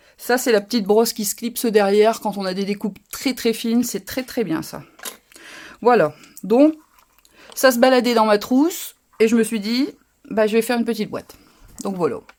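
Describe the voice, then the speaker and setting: A woman with a northern French accent speaks at a moderate pace and a fairly high pitch, with ordinary pitch variation. She leaves long, frequent pauses in a very clean recording with a silent background. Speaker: crafting youtuber. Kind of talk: live craft tutorial. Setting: livestream. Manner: casual, halting with fillers.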